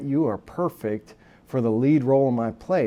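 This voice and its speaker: A man talks in an American accent at medium pitch with ordinary pitch variation. His tone is dark and mellow. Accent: occasional Texan. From Texas, Southeast Austin. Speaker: army veteran and political candidate. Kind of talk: interview. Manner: halting, many fillers.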